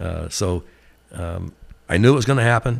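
A man with an American accent speaks at a fairly slow pace. The recording is very clean, with a silent background. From Glendale, Oregon. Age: 60s. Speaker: company CEO. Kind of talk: casual interview conversation. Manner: relaxed, hesitant with fillers.

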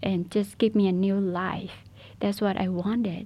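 This woman's voice is somewhat breathy. Its tone is dark and mellow. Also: quiet background. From Shan State, Burma. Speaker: refugee sharing faith testimony. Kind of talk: testimony. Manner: halting.

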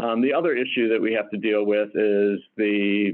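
With an American accent, a man with a plain, everyday voice talks at a moderate pace, fairly low in pitch and with fairly even intonation. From Detroit, Michigan. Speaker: hospital chief medical officer and physician. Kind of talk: interview.

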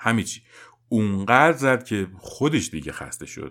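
A man speaks in an unremarkable speaking voice at a moderate pace. His intonation is lively. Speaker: parenting podcast host. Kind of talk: scripted narration.

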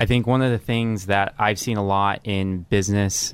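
A man speaks at a fairly low pitch and moderate pace with fairly even intonation, in an unremarkable speaking voice. The recording is very clean, with a silent background. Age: 20s. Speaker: young professional. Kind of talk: interview questions. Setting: studio.

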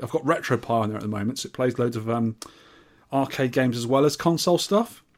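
The speaker is a man going very fast. His voice is mid-pitched and varies in an ordinary way. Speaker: podcast host. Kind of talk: casual chat. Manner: joking, chatty.

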